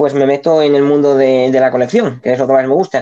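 A dark, mellow tone in a man's voice, fairly high in pitch. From Spain. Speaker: speedcuber. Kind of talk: casual chat. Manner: hesitant, many fillers.

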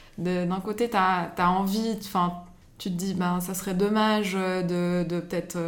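A woman speaks in a monotone, flat intonation at a fairly slow pace. Audible room echo surrounds her voice. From Switzerland, Geneva. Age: 30s. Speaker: social media manager and interior design blogger. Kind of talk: casual chat. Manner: halting, many fillers.

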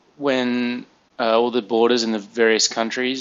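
A man is speaking. He has an Australian accent. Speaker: cram school teacher. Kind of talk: casual chat.

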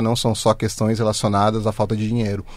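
Here a man has an unremarkable speaking voice at a medium pitch. He talks at a fairly quick pace in a very clean recording with a silent background. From Brazil, Osasco (São Paulo metro area). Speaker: journalist and editor. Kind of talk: interview.

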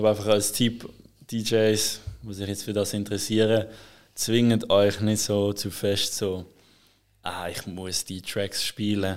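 A man talks at a very slow pace in a fairly low pitch. His delivery is monotone and flat, with long, frequent pauses. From Switzerland, Basel. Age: 20s. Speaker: DJ and music producer. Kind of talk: casual interview. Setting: studio.

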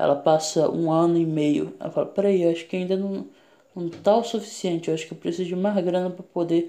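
A man's high-pitched voice carries a dark, mellow tone and fairly even intonation. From Pará, northern Brazil. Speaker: comedian podcaster. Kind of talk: casual comedic monologue. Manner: halting, many fillers.

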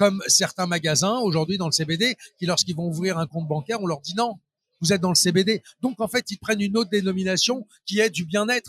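Pitched high, a man talks at a fairly quick pace with ordinary pitch variation. The sound is dry and close, with no echo. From Paris suburbs, France. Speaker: trade show organizer. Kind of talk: interview. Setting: trade show floor. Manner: hesitant with repetitions.

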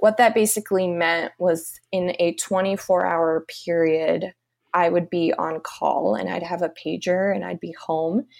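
This woman has an unremarkable speaking voice, fairly low in pitch, with fairly even intonation. She speaks at a fairly slow pace in a very clean recording with a silent background. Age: 20s. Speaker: nursing student. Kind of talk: casual interview.

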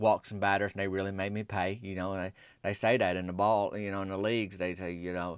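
A man speaks in a Southern US accent with a fairly low pitch and monotone, flat intonation. His pace is fairly quick, and the recording is very clean with a silent background. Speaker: podcast host and storyteller. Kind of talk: comedic storytelling monologue.

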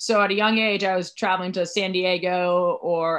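With an American accent, a woman speaks at a medium pitch and a moderate pace, her intonation monotone and flat against a quiet background. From Southern California, Newport Beach. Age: 20s. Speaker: professional athlete. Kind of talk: interview.

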